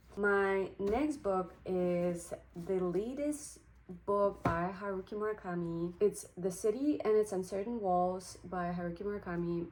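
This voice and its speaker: A woman with a Ukrainian accent speaks at a very slow pace and medium pitch, with ordinary pitch variation. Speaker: book vlogger. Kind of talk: casual chat.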